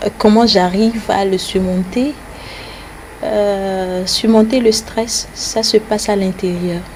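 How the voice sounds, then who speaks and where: Noticeable background noise accompanies a woman speaking at a very slow pace. Her medium pitch carries fairly even intonation. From Togo. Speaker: TV news presenter. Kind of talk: interview. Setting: at home.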